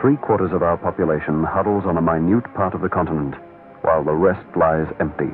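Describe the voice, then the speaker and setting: With background music playing, a man talks at a moderate pace. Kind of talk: political ad narration.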